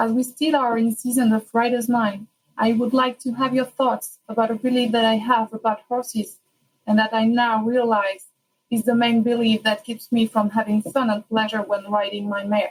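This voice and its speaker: A woman speaks with a French accent at a fairly high pitch and moderate pace. Her voice is somewhat breathy, with monotone, flat intonation. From France. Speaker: listener submitting a question. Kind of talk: recorded listener question.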